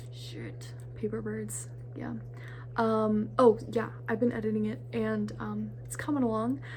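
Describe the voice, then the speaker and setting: Noticeable background noise and audible room echo surround a woman with a very deep, low voice. She speaks fairly slowly in a flat monotone, her loudness swinging widely. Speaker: vlogger and independent filmmaker. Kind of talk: casual vlog talk. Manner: halting, many fillers.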